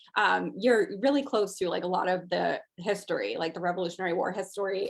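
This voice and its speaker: At a fairly quick pace, a woman with medium pitch talks in a plain, everyday voice. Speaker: rescue charity staffer co-hosting the online auction. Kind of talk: casual conversational auction item description.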